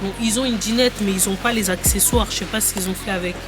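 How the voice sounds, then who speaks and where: Over music in the background and audible room echo, a woman talks at a very fast pace. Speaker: vlogger. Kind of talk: vlog, casual chat. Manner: quiet.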